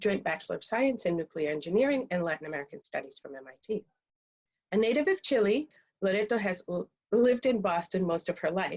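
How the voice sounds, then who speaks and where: The speech comes at a very fast pace with lively intonation, dry and close with no echo. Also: woman, medium pitch for a woman. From Dominican Republic. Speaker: interpreter, panel moderator. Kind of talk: panel introduction. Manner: halting.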